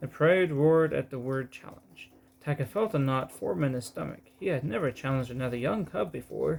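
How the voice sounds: What you hear is a natural reading voice.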